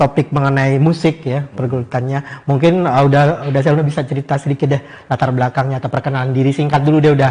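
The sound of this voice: A man talks at a fast pace with few pauses, his pitch medium. His tone is slightly mellow and his intonation fairly even.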